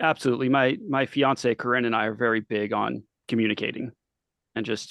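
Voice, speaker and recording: A man's normal speaking voice at a medium pitch, fairly quick in pace, with fairly even intonation. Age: 30s. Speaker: punk bassist and stagehand. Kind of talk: casual interview. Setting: studio.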